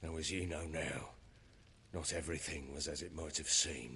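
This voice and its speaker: Over clear background noise, a man uses a put-on character voice that is gruff and raspy with a very deep, low pitch, fairly even intonation and a moderate pace. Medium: video game. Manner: gruff, coarse.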